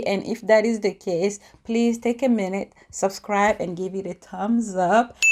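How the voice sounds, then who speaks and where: In a dark, mellow tone, a woman with a non-native accent talks with hardly any pauses. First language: not English. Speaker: YouTuber, lifestyle and empowerment vlogger. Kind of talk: casual vlog talk to camera. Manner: animated.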